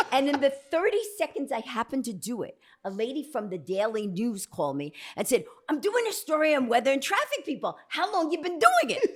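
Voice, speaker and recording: Animated and fairly quick, a woman talks at a high pitch with very wide pitch swings. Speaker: comedian and record-holding fast talker. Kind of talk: casual interview chat, storytelling. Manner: very fast.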